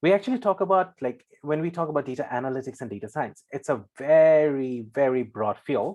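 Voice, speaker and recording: Against a quiet background, a man speaks at a moderate pace. His pitch is fairly high and swings very widely. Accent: Singaporean. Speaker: data scientist. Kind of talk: presentation.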